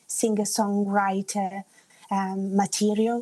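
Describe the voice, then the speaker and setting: A dark, mellow tone at a very slow pace in an Italian accent, with a dry, close sound and no echo. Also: woman. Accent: Italian-tinged English. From Italy (Umbria), Australian father. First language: Italian and English bilingual. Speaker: singer-songwriter. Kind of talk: radio interview.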